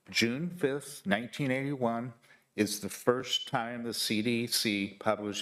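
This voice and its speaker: A man speaks fairly slowly in an unremarkable speaking voice. His medium pitch has ordinary variation. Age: 60s. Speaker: public commenter. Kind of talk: public testimony. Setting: county board meeting, hybrid in-person and online.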